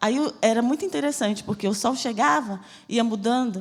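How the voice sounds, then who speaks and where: Audible room echo surrounds a woman with a somewhat breathy, fairly high voice. She speaks at a fairly quick pace. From Brazil, Bahia (Salvador). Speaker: missionary preacher. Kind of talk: sermon with personal testimony. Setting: church service.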